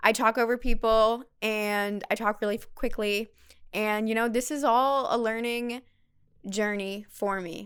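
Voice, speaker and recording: In a very clean recording with a silent background, a woman with a fairly high pitch talks fairly slowly in a plain, everyday voice. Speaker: podcast host. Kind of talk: casual chat.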